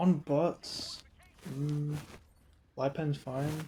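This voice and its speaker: A man speaks in a dark, mellow, somewhat breathy tone with monotone, flat intonation. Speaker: gaming commentator. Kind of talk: unscripted rant. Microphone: poor mic quality, first time using a mic.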